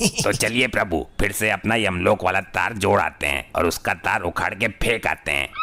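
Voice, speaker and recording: At a moderate pace, a man uses a put-on character voice pitched fairly low. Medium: comedy sketch.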